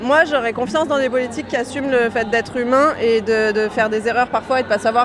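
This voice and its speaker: A woman talks at a fairly quick pace with a high pitch and ordinary pitch variation. Noticeable background noise is present. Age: young. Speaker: young woman at a protest march. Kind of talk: street interview. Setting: outdoors at a street demonstration.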